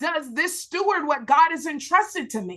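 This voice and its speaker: Raised and projected, a woman's high-pitched voice carries a bright, sharp, animated tone with lively intonation at a moderate pace. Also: quiet background. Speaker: preacher and Bible teacher. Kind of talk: live Bible study teaching. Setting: livestream.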